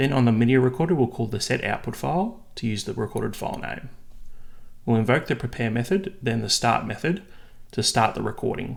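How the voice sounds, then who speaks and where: Lively intonation and vocal fry mark this voice with an Australian accent. The pace is fairly quick. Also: man, medium pitch for a man. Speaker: software developer tutorial maker. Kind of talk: tutorial.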